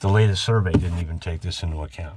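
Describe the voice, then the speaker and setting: Somewhat breathy and relaxed in tone, a man speaks at a very deep, low pitch. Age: 60s. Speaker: boat-restoring video blogger. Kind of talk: casual solo vlog narration while working. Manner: relaxed, halting with fillers.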